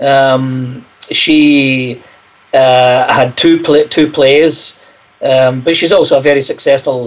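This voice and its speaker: Fairly slow, monotone, flat speech from a man at medium pitch, over noticeable background noise. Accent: Scottish. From Scotland, Glasgow. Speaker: singer-songwriter. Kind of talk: interview.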